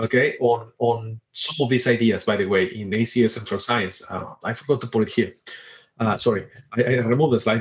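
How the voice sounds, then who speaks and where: A somewhat breathy man at a fairly quick pace, with a Spanish accent. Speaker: professor. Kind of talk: lecture. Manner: fast; animated.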